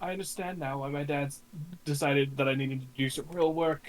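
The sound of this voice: Using a put-on character voice, a man speaks softly and breathily at a fairly high pitch and a fairly quick pace, with light background noise.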